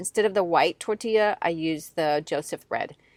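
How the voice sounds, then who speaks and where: A woman's voice shows ordinary pitch variation, recorded with a dry, close sound and no echo. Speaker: podcast host. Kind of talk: casual chat. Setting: in a car.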